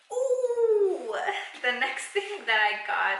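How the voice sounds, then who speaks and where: Background noise is noticeable and room echo audible as a woman talks. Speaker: beauty vlogger. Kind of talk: product unboxing review.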